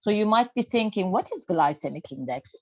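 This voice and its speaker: The speaker is a woman with a Turkish accent. The sound is dry and close, with no echo. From Turkey. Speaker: health and nutrition speaker. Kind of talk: lecture. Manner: halting.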